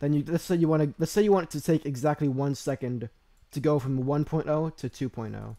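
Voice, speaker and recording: A man talks at a moderate pace with a dark, mellow tone. His pitch is fairly high, with ordinary pitch variation. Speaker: video editing tutorial creator. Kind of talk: tutorial. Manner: halting, many fillers and restarts; casual.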